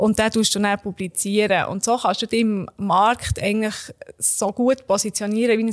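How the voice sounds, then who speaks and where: A woman's flat, monotone delivery in a dry, close sound with no echo. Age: 30s. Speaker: marketing expert. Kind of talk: explanatory interview.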